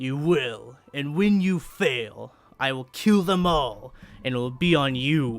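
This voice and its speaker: A man uses a put-on character voice. He talks at a fairly slow pace and a fairly high pitch. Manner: menacing, threatening.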